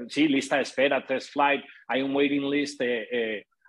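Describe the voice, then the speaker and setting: A man speaks at a fairly slow pace. His pitch is fairly high. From Colombia, Antioquia (paisa). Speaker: podcast host, fundraiser. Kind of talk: casual interview. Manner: halting, repeats words.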